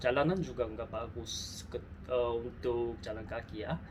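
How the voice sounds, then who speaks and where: Someone speaks at a very slow pace with a Korean accent amid noticeable background noise. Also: man. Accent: Korean accent in Indonesian. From South Korea. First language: Korean (speaking Indonesian). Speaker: travel vlogger. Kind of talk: casual vlog talk to camera. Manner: halting, self-correcting.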